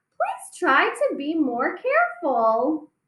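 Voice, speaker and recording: Using a put-on character voice, a woman speaks very slowly in a squeaky, extremely high pitch. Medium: read story.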